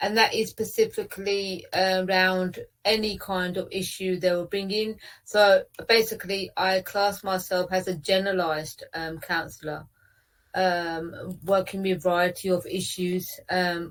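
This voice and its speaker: A woman with an English accent speaks fairly slowly in a flat monotone, on a very clean recording with a silent background. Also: medium pitch for a woman. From England, British Punjabi Sikh family. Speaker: counsellor. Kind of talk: interview. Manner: hesitant, many fillers.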